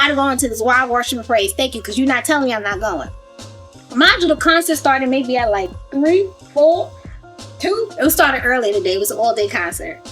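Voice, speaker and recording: Over music in the background, someone with a New York accent talks at a fairly quick pace with lively intonation and an animated, upbeat tone. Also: woman, high pitch for a woman. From Brooklyn, New York. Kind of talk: casual storytelling to camera.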